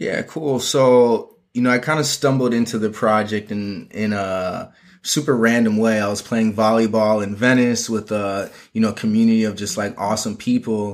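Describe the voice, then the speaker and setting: A man with a plain, everyday voice and an American accent, medium in pitch, at a moderate pace with fairly even intonation, on a very clean recording with a silent background. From Minnesota (Minneapolis). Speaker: fashion and marketing consultant. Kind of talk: casual interview.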